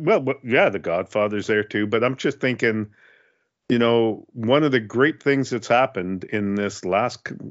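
The man talks at a moderate pace with ordinary pitch variation.

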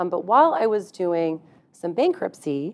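A speaker with an American accent talks in a normal speaking voice at a moderate pace. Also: woman. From Texas. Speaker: employment lawyer. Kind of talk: interview conversation.

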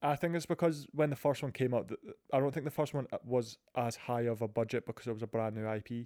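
On a very clean recording with a silent background, a man with a dark, mellow tone and medium pitch talks at a very fast pace with ordinary pitch variation. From Scotland. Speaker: podcast host. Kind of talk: casual chat about video games.

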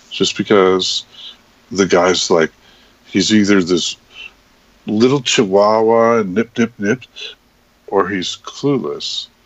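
A man speaks with a fairly low pitch at a very slow pace. Long, frequent pauses break up his speech. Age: 60s. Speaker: podcast host. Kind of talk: casual chat. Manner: animated.

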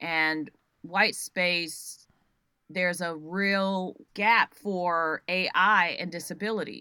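A woman's fairly low voice, bright and sharp in tone, at a very slow pace. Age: 50s. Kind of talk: interview. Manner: animated.

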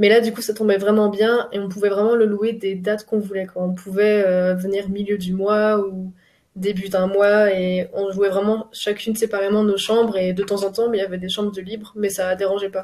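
A woman speaks at a moderate pace with a medium pitch. Her intonation is monotone and flat. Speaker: student. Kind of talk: interview.

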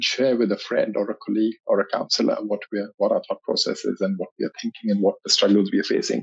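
The man's words come out at a very rapid speed. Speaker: mental health charity board chair. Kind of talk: interview. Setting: studio. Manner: stutter.

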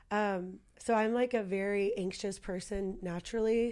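A woman's ordinary speaking voice, medium in pitch, with fairly even intonation, on a very clean recording with a silent background. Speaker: client. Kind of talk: interview conversation.

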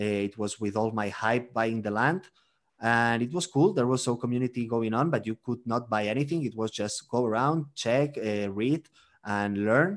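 A man's medium-pitched voice with a Spanish accent at a moderate pace, over a quiet background. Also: ordinary pitch variation. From Spain, Barcelona. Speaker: marketing executive and crypto investor. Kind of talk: interview. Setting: remote call.

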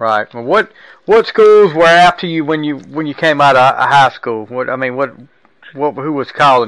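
A man speaks in a plain, everyday voice at a moderate pace. His pitch is fairly high and his intonation lively. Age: 40s. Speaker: podcast host. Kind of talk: casual interview.

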